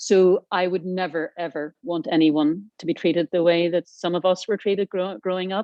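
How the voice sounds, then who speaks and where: A woman with a Northern Irish accent talks at a moderate pace with hardly any pauses. Her pitch is fairly low and her intonation fairly even. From Northern Ireland. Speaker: aviation industry panelist. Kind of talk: panel discussion.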